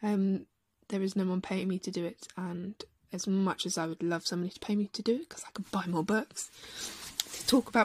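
A somewhat breathy woman's voice of medium pitch at a fairly quick pace, dry and close with no echo. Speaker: podcast host on breastfeeding support. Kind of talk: solo podcast monologue. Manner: hesitant, frequent ums.

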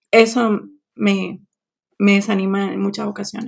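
A woman talks at a fairly slow pace in an unremarkable speaking voice. The recording is very clean, with a silent background. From Colombian Caribbean coast, Barranquilla. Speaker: Spanish teacher. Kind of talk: interview.

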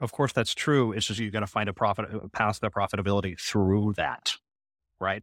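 An unremarkable speaking voice with a Canadian accent and fairly even intonation comes through a very clean, dry, close recording with no echo and a silent background. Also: man, fairly low pitch for a man, fairly quick pace. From Canada. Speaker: startup founder and podcast co-host. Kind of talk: casual chat.

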